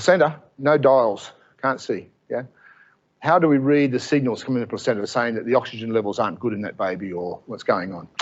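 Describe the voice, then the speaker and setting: A man with an Australian accent, medium pitch, a fairly quick pace, lively intonation, and big swings in loudness. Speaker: professor. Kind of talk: lecture. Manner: fast; animated.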